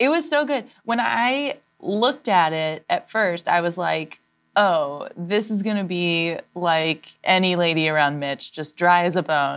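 Using a normal speaking voice, a woman talks at a fairly slow pace and a fairly low pitch with lively intonation. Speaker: comedy writer and actor. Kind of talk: casual chat.

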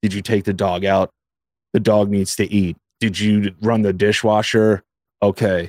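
On a very clean recording with a silent background, a man does a put-on, robotic character voice at a fairly low pitch, with monotone, flat intonation, very even loudness, a moderate pace and long, frequent pauses. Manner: robotic, monotone.

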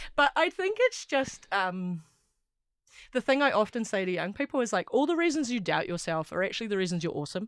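A woman with a New Zealand accent speaks at a fairly quick pace, her fairly high pitch swinging very widely. The recording is very clean and dry and close, with a silent background and no echo. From New Zealand, Wellington. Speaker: rugby player and sports journalist. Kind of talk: casual chat. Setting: studio.

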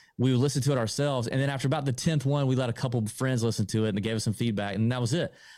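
This man has a dark, mellow tone and a medium pitch, with an American accent. His intonation is fairly even, and the recording is very clean with a silent background. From US South, Augusta, Georgia. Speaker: golf podcaster. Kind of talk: casual interview.

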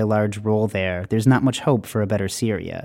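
A man's medium-pitched voice, dark and mellow in tone, at a fairly quick pace with fairly even intonation, on a very clean recording with a silent background. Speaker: journalist. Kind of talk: reported narration.

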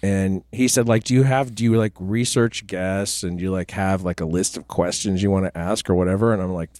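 A man with an ordinary speaking voice and a General American accent speaks at a moderate pace with hardly any pauses. His pitch is fairly low with ordinary variation, and the sound is dry and close, with no echo. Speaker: podcast host. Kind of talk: casual chat.

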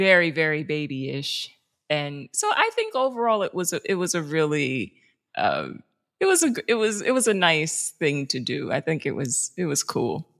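A woman with a New York accent, fairly low in pitch with very wide pitch swings, at a moderate pace, on a very clean recording with a silent background. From New York City, South Bronx. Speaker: journalist and producer. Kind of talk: casual interview.

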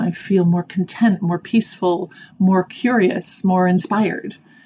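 A somewhat breathy woman with a Canadian accent, medium in pitch, with a dark, mellow tone at a fairly slow pace. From Canada, Toronto. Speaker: executive coach. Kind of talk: interview.

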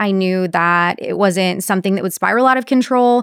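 A woman with an American accent speaks in a normal speaking voice at medium pitch with ordinary pitch variation. Her moderate pace comes through in a very clean recording with a silent background. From Texas, Corpus Christi. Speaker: sales professional. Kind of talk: casual chat. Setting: studio.

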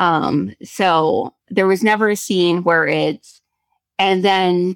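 In a dry, close sound with no echo, a woman speaks at medium pitch with ordinary pitch variation. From South Korea. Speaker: screenwriter and actress. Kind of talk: casual chat.

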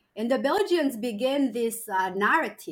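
The voice has a slightly husky edge, with lively intonation and a moderate pace. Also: woman.

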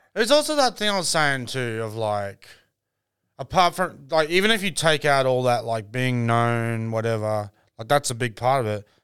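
Recorded very cleanly against a silent background, a man with an Australian accent speaks at medium pitch with lively intonation. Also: moderate pace. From Brisbane, Australia. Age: 30s. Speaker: comedian. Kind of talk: casual chat.

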